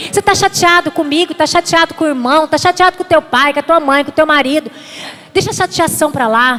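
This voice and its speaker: A woman speaks in an animated tone with a high pitch. Noticeable background noise is present. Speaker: pastor. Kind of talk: sermon. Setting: church. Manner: fast.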